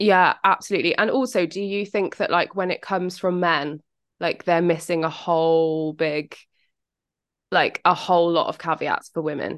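A woman with a British accent speaks at a fairly low pitch and moderate pace. Her pitch varies in an ordinary way, and the background is quiet. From England.

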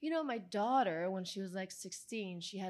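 Speaking at a fairly quick pace with an Italian accent, a woman uses lively intonation at a medium pitch. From Italy. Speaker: actress, model and filmmaker. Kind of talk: casual interview chat. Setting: live event with audience.

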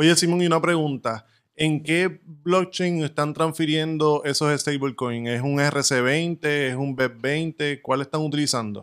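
A man at a very slow pace with hardly any pauses, fairly high pitch and fairly even intonation. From Puerto Rico. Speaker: crypto podcast co-host. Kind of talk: podcast interview.

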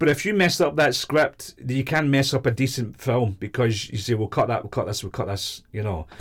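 On a very clean recording with a silent background, a man with a Glaswegian accent and medium pitch speaks at a moderate pace, somewhat breathy and with lively intonation. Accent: Glaswegian Scottish. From Scotland, Glasgow. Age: 50s. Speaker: independent filmmaker. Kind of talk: casual interview chat.

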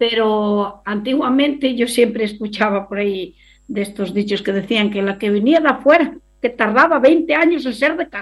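An unremarkable speaking voice, a woman's, fairly high in pitch with lively intonation at a moderate pace against a quiet background. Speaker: rural women's association member. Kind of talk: interview.

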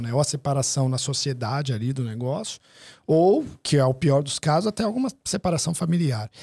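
A man's dark, mellow, somewhat breathy voice at a moderate pace, dry and close with no echo. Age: 30s. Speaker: dental marketing business owner. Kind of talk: casual interview.

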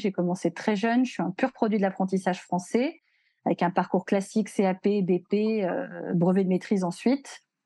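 A woman talks at a moderate pace and medium pitch, her tone dark and mellow. The sound is dry and close, with no echo. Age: 40s. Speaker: hairdresser and beauty education entrepreneur. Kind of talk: casual chat. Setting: podcast recording.

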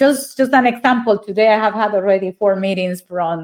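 Speaking with a Spanish accent, a woman uses ordinary pitch variation. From Colombia, Neiva (Huila). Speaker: ambassador. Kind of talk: interview.

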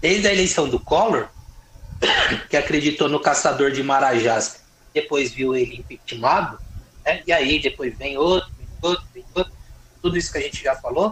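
With noticeable background noise behind him, a man speaks at a fairly high pitch with ordinary pitch variation and long, frequent pauses. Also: moderate pace. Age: 40s. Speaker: lawyer and politician. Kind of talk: casual interview about politics.

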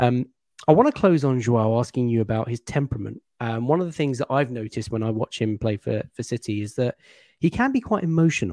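A man speaks at a fairly quick pace in a dark, mellow tone of medium pitch with ordinary pitch variation, his dry, close sound carrying no echo over a quiet background. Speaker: football podcast host. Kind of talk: casual football analysis chat.

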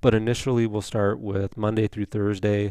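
A man with a normal speaking voice speaks at a fairly low pitch with fairly even intonation against a quiet background. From Indiana. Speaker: family physician. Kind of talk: interview.

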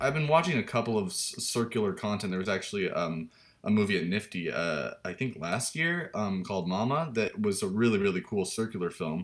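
Fairly low-pitched man, an ordinary speaking voice, at a fairly quick pace with lively intonation and hardly any pauses. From Washington state, US. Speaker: music video director. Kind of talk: interview.

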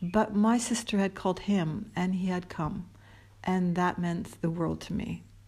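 Speaking at a fairly slow pace in a Canadian accent, this somewhat breathy voice keeps a fairly even intonation on a very clean recording with a silent background. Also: woman, medium pitch for a woman. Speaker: storyteller. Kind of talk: personal storytelling monologue. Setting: at an airport.

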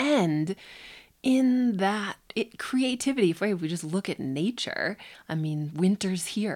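A woman with an American accent and a normal speaking voice, medium pitch, lively intonation and a fairly slow pace, on a very clean recording with a silent background. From US Upper Midwest, Minneapolis. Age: 30s. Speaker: Kundalini yoga teacher. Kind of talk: casual interview conversation. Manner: relaxed, frequent fillers and laughter.

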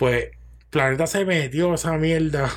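A man speaks with a Puerto Rican accent at a moderate pace. His pitch is high. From Puerto Rico. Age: 40s. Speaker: chef. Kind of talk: casual chat.

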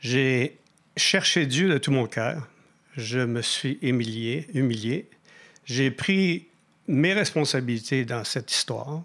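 Very slow and broken by long, frequent pauses, a man speaks at medium pitch with ordinary pitch variation in a very clean recording with a silent background. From Quebec, Mauricie. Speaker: minister giving personal testimony. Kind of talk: testimony.

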